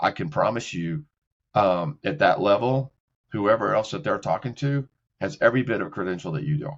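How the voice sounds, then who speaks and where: Using a normal speaking voice, a man speaks at medium pitch and a moderate pace with lively intonation. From Texas, Beaumont. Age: 60s. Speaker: executive career counselor. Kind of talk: casual interview chat. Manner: repetitive, self-correcting.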